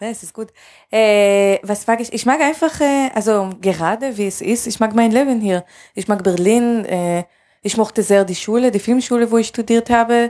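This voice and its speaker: A woman's fairly high, dark, mellow voice at a moderate pace, with big swings in loudness, ordinary pitch variation and a very clean recording over a silent background. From Israel. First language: Hebrew (speaking German). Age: 30s. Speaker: film director. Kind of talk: interview. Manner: hesitant, many fillers.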